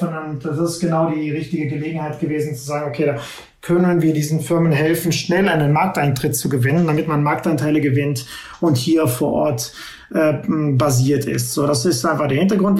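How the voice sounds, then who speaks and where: A man with fairly even intonation, audible room echo and noticeable background noise. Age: 50s. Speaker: tech entrepreneur. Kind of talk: interview. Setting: remote call from home.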